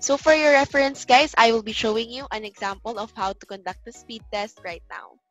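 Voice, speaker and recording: Talking at a fairly quick pace with hardly any pauses, a woman shows ordinary pitch variation and big swings in loudness, the sound dry with no echo and faint music in the background. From Philippines. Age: young. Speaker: online English tutor. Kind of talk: casual talk to camera. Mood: cheerful, smiling. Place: home room. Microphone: headset.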